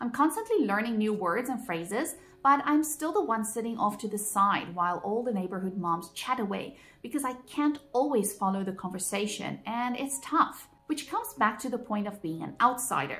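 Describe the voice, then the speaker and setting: A woman speaks with a non-native accent and lively intonation. Her pitch is fairly high. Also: moderate pace. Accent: noticeable foreign accent in English. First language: Afrikaans. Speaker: vlogger. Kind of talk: personal vlog monologue.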